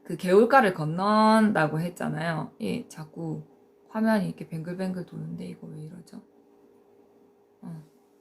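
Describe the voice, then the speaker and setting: A somewhat breathy woman, fairly low in pitch, at a fairly slow pace with long, frequent pauses and ordinary pitch variation. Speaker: tarot teacher. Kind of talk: live-stream lecture. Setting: live stream. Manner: hesitant with frequent fillers.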